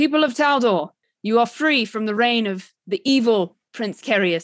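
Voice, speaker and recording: Loud and booming, a female-sounding, put-on character voice comes at a fairly high pitch and a moderate pace over a quiet background. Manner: booming, as loud as possible.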